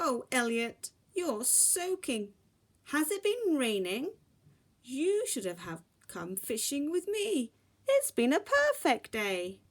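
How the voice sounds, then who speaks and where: In a put-on character voice, a woman projects loudly at a high pitch, moving at a fairly slow pace with very wide pitch swings. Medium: read story. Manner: warm, cheerful.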